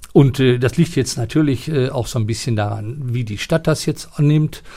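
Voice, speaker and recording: This man's voice has a dark, mellow tone and is somewhat breathy. He talks at a moderate pace with lively intonation. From East Westphalia, Germany (near Paderborn). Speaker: retired sports and art teacher, former Olympic athlete. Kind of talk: interview. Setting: theatre building.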